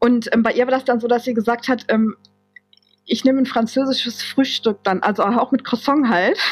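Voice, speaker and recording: Her pitch high with ordinary variation, a woman speaks at a moderate pace with very even loudness. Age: 40s. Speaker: office clerk turned social pedagogy student. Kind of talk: casual interview chat. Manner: halting, many fillers.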